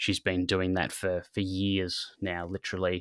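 With an Australian accent, a man talks at a moderate pace in a very deep, low pitch and a bright, sharp tone. The recording is very clean with a silent background and a dry, close sound with no echo. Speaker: sports dietitian and podcast host. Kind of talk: interview. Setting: working from home.

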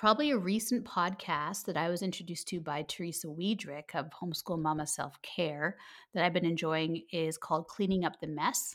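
An ordinary speaking voice with a Canadian accent, moderate pace and ordinary pitch variation, on a very clean recording with a silent background. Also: woman, fairly low pitch for a woman. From Canada. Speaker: homeschooling podcaster and coach. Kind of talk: casual interview chat.

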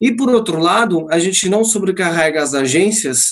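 This is a man with a high-pitched voice. His pitch varies in an ordinary way. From Portugal. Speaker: live marketing lead, company partner. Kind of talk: casual chat. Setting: video call.

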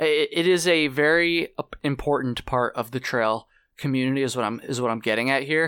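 With an American accent, a man of fairly high pitch talks at a fairly quick pace and ordinary pitch variation. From US Northeast. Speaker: podcast host. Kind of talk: casual chat and solo monologue. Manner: halting, filler-heavy, stumbling.

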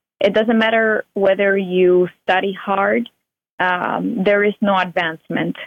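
With a Spanish accent, a woman talks in fairly even intonation at very even loudness. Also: medium pitch for a woman, fairly slow pace. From Cuba. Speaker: Cuban emigrant and author. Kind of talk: interview testimony.

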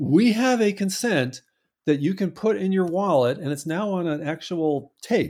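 A man's high pitch and lively intonation at a fairly slow pace. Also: very clean recording, silent background. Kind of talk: interview chat. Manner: hesitant, filler-heavy.

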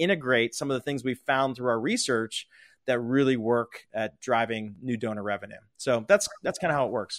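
A man with an American accent and a normal speaking voice talks at a fairly quick pace and medium pitch with fairly even intonation, recorded very cleanly against a silent background with a dry, close sound with no echo. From Pittsburgh, Pennsylvania. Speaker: fundraising consultant and company founder. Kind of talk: interview conversation. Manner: casual.

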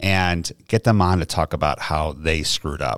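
Speaking with an American accent, a man uses a very deep, low pitch with ordinary variation and vocal fry. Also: very clean recording, silent background. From New York. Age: 30s. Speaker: podcaster and radio host. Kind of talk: casual interview chat.

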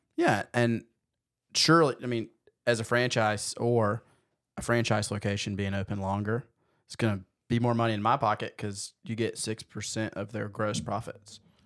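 With an American accent and a normal speaking voice, a man at medium pitch speaks at a moderate pace, his intonation fairly even but his loudness swinging widely. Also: very clean recording, silent background. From US South. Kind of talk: casual chat.

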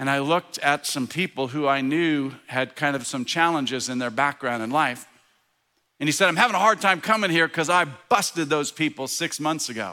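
A man's fairly high voice with a bright, sharp tone, animated and at a moderate pace, ordinary pitch variation, on a very clean recording with a silent background. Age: 60s. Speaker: preacher. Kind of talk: sermon.

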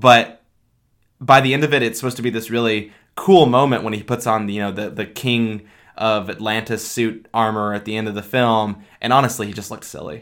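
This is a plain, everyday voice at a fairly quick pace with fairly even intonation. The loudness swings widely, and the recording is very clean with a silent background. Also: man, medium pitch for a man. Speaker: podcast co-host. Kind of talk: casual movie review chat. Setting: same room as co-host.

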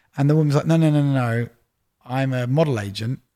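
In a London accent, a man with a dark, mellow tone speaks at a very fast pace with ordinary pitch variation on a very clean recording with a silent background. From North London, England. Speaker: record label executive. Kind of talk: casual chat. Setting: studio.

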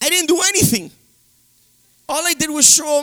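A man's animated, raised and projected voice at a moderate pace. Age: 40s. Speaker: pastor. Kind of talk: sermon. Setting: church.

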